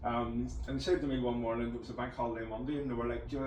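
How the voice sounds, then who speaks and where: Talking at a very fast pace, a man uses a medium pitch and ordinary pitch variation amid noticeable background noise and audible room echo. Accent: Northern Irish. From Northern Ireland, County Antrim. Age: 40s. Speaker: podcast host. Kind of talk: casual interview chat. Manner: halting, repeats words; animated.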